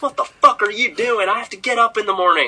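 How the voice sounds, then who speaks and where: A female-sounding voice does a put-on character voice with a strong Texan accent. It runs at a very fast pace and a fairly high pitch. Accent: thick Texan. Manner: irate, complaining.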